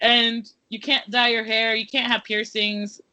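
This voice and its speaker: A woman speaks at a fairly high pitch. She has an American accent. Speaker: writer and educator. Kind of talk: interview. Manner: casual, many fillers.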